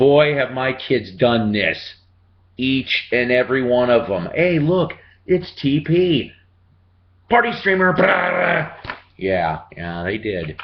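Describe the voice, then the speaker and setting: A man at medium pitch with very wide pitch swings, a very slow pace and long, frequent pauses, over noticeable background noise. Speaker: grandparent reading to grandson. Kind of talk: children's book read-aloud with casual asides. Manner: warm, folksy.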